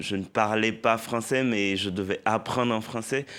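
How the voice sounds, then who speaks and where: In a very clean recording with a silent background, a man with a Haitian accent speaks at a very slow pace. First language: Haitian Creole (speaking French). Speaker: poet and novelist. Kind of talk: TV interview.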